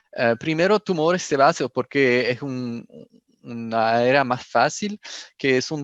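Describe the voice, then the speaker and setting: With a French accent, a man of medium pitch talks at a fairly slow pace with ordinary pitch variation over a quiet background. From France. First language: French (speaking Spanish). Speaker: pathology professor. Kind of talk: lecture. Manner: halting.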